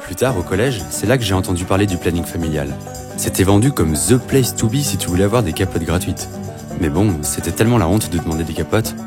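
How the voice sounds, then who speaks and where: Over music in the background, a man with a very deep, low pitch talks at a very fast pace with ordinary pitch variation. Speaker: voice actor. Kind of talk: animated short narration, first-person storytelling.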